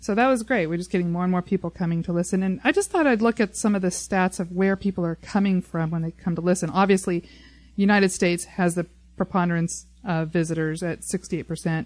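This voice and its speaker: A woman's unremarkable speaking voice, medium-pitched, at a fairly quick pace, fairly even in intonation, with a dry, close sound, no echo and a quiet background. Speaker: podcast host. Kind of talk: casual chat. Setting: studio.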